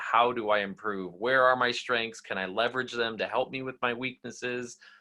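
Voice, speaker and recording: At a moderate pace and medium pitch, a man talks in a plain, everyday voice. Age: 30s. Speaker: referee training coordinator. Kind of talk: online training session.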